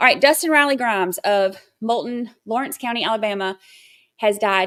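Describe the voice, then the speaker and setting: Speaking fairly quickly, a woman with an American accent has a fairly high pitch and ordinary pitch variation. The recording is very clean and the background silent. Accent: Southern twang when excited. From Georgia, US South (near Athens). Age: 40s. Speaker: true crime livestream host. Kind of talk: casual livestream chat. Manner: chatty, with many fillers.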